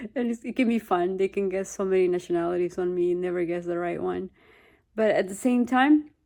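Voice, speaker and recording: Speaking at a fairly quick pace, a woman with a Peruvian accent has a dark, mellow tone. Her pitch is medium, with ordinary pitch variation. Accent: Peruvian Spanish accent, noticeable. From Peru, Lima. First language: Spanish. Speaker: vlogger. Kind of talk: personal testimony. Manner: halting, with repetitions.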